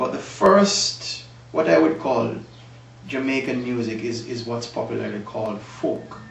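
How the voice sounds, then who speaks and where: Over noticeable background noise and audible room echo, a man with a medium pitch talks at a fairly slow pace with lively intonation. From Jamaica, Manchester parish (Mandeville). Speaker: music historian guest. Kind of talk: interview.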